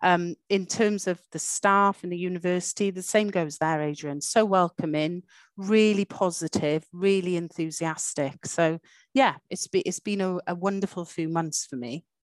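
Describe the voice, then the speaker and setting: With a Welsh accent, the speaker keeps a moderate pace and ordinary pitch variation over a quiet background. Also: woman, fairly low pitch for a woman. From Wales. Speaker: university dean. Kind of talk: interview. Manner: animated.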